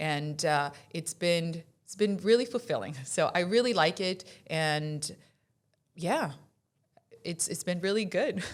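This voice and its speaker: Using lively intonation at a fairly low pitch, a woman speaks at a fairly slow pace with long, frequent pauses. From Colombia, then Florida from age 15. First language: Spanish. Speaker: insurance executive. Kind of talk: podcast interview.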